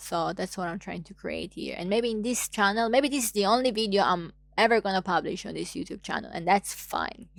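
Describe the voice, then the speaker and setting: A woman with an Italian accent speaks at a moderate pace, her pitch varying in an ordinary way. There is noticeable background noise. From Italy. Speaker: YouTuber. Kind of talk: casual monologue vlog. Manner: animated.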